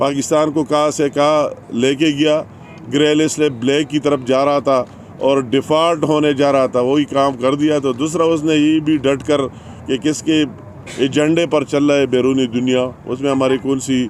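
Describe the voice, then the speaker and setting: Against noticeable background noise, a man speaks with very even loudness, a fairly high pitch and a monotone, flat intonation. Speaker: politician. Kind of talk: political press conference speech.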